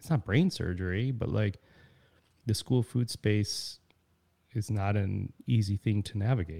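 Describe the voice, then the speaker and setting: Speaking slowly in an American accent, a man with a fairly low pitch and ordinary pitch variation has a dark, mellow, somewhat breathy tone on a very clean recording with a silent background. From Chicago suburbs. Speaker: chef and charity director. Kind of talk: casual interview.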